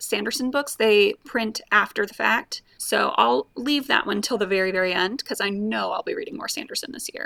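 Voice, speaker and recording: The speaker moves along fairly quickly with an American accent. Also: woman. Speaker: booktuber. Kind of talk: casual vlog talk. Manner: casual, conversational. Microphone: new setup, poor audio quality.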